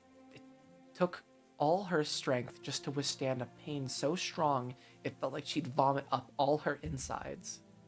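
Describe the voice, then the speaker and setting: Music plays in the background as a man with a fairly high pitch talks at a fairly slow pace. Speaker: streamer reading a visual novel aloud. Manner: reads narration aloud expressively.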